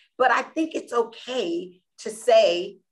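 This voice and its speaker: A woman with an American accent talks in a fairly high pitch with very wide pitch swings and an energetic tone. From US South, South Florida. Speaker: nonprofit founder. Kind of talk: interview.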